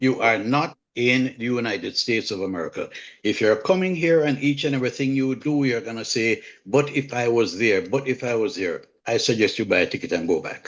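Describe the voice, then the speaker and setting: A man speaks in a strong Jamaican accent at medium pitch. His pace is fairly quick and his intonation lively. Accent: Jamaican, kept strong. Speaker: home inspector. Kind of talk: live online community call.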